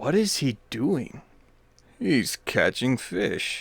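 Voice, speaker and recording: In a croaky put-on character voice, a man speaks at a very slow pace with a fairly high pitch. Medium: read story.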